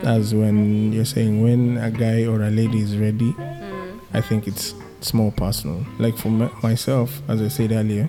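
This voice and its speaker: A man's medium-pitched voice with fairly even intonation at a moderate pace, over music in the background. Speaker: podcast guest. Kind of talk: casual conversational.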